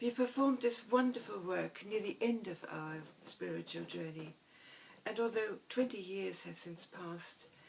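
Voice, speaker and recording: Speaking with a German accent, a woman uses a medium pitch, a moderate pace and ordinary pitch variation. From Germany. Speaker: violinist. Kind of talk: scripted narration.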